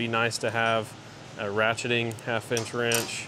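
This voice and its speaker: A man talks while noticeable background noise carries on around him. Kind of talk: tutorial. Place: workshop. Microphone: phone near.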